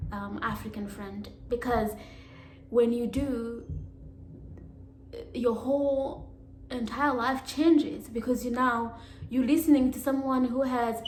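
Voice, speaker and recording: A woman with a high voice talks at a fairly slow pace with long, frequent pauses and big swings in loudness, while room echo and noticeable background noise can be heard. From Africa. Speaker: YouTuber. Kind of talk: vlog monologue. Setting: alone at home.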